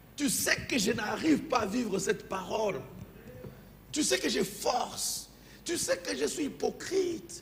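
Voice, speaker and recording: A non-native accent at a fairly slow pace, with very wide pitch swings and long, frequent pauses, audible room echo and noticeable background noise. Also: man, high pitch for a man. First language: not French (speaking French). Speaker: pastor. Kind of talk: sermon. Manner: halting.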